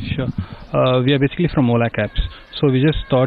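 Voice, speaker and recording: Talking at a very fast pace, a man sounds dry with no echo while faint music plays in the background. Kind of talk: interview answer. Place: street. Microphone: handheld.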